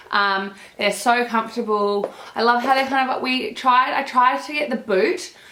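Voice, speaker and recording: A woman's high, animated voice at a moderate pace, with ordinary pitch variation, audible room echo and noticeable background noise. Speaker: fashion vlogger. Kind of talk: haul video.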